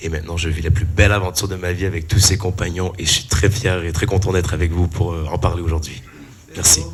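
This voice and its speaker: A man's very deep, low voice at a very fast pace, monotone and flat, with audible room echo and noticeable background noise. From Canada. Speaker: musician and performer. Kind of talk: panel talk, self-introduction. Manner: hesitant, many fillers.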